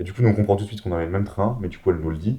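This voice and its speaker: A man's fairly low, somewhat breathy voice with a dark, mellow tone. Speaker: podcast guest, companion of the featured guest. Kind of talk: casual chat. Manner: animated.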